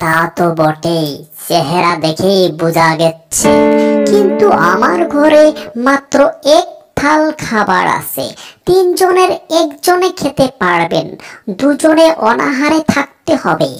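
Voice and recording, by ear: A woman performs a cartoonish character voice with very wide pitch swings. She speaks at a very slow pace over music in the background. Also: medium pitch for a woman.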